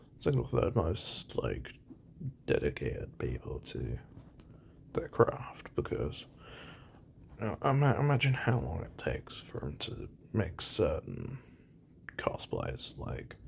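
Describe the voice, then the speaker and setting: Whispering at a fairly slow pace, a man leaves long, frequent pauses. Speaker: gaming and anime commentary youtuber. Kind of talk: casual solo commentary. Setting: at home. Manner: hesitant, many repetitions and fillers; kept deliberately quiet.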